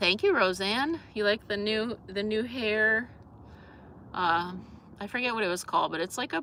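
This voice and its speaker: Bright and sharp in tone, a woman with an East Coast US accent speaks at a moderate pace, using ordinary pitch variation and long, frequent pauses. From US East Coast. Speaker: vlogger. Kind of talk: casual live stream chat. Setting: live stream. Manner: halting, many fillers and restarts.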